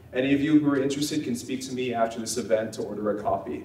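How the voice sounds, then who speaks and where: A man speaks at a very fast pace with a medium pitch. Audible room echo surrounds his voice. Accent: American. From Nevada, Las Vegas. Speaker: think tank representative introducing speaker. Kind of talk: speaker introduction.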